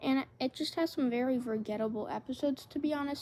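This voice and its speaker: A woman's raised, projected voice rings out at a high pitch with a bright, sharp tone. Her pitch varies in an ordinary way. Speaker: YouTuber ranking TV seasons. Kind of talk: casual commentary video. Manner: hesitant with frequent fillers.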